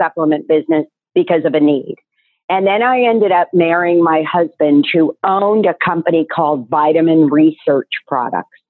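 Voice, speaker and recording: With a normal speaking voice, a woman at a fairly low pitch uses lively intonation at a moderate pace. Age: 60s. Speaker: nutraceutical business owner. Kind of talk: interview.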